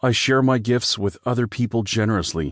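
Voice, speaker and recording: A man speaks in a normal speaking voice at a medium pitch and moderate pace with ordinary pitch variation, the sound dry and close with no echo against a quiet background. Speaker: audiobook narrator. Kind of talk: audiobook narration of guided affirmations, reading aloud.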